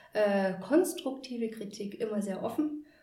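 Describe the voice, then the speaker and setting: Lively intonation marks this woman's fairly high voice. Audible room echo and noticeable background noise surround her. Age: 30s. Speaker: grief and burnout coach. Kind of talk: casual chat. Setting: host's practice.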